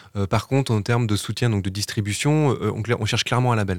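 Heard through a dry, close sound with no echo, a man with an unremarkable speaking voice talks at a moderate pace and a fairly low pitch with ordinary pitch variation. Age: 40s. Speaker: musician. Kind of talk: radio interview.

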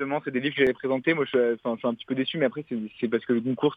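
A medium-pitched male voice holds fairly even intonation. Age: 20s. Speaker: bookseller and literary critic. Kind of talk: recorded segment, book review. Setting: phone call.

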